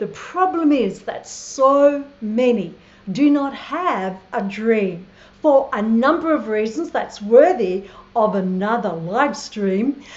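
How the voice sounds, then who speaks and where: Over audible room echo, a woman with an Australian accent speaks at a very slow pace and a fairly high pitch. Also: lively intonation. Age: 60s. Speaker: travel vlogger. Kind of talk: live stream monologue. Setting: live stream from Thailand. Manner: animated.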